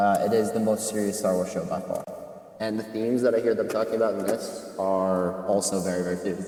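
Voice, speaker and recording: Fairly low male speech, with audible room echo and noticeable noise in the background. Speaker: film podcast co-host. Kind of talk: casual chat. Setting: movie theater parking lot. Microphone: poor mic quality.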